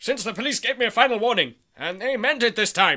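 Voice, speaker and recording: A man puts on a character voice in a pompous tone, pitched extremely high. He talks at a very fast pace with ordinary pitch variation. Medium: audio drama. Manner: pompous, bluffing.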